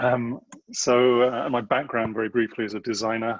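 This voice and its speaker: A man in a monotone, flat intonation against a quiet background. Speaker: designer and government innovation strategist. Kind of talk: online panel talk. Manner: fast; hesitant, many fillers.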